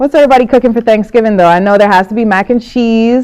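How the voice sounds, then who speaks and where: An animated woman at a fairly quick pace and a fairly high pitch, with music in the background. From Jamaica. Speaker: crafting tutorial host. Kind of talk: live-stream tutorial with casual chat. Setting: live stream.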